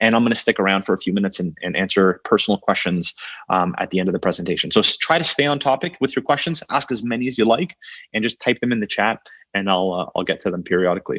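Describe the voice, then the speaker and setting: In a very fast stream, a man with a Canadian accent and fairly low pitch speaks with lively intonation, the sound dry and close with no echo over a quiet background. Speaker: software company founder. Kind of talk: webinar training presentation. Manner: hesitant with fillers.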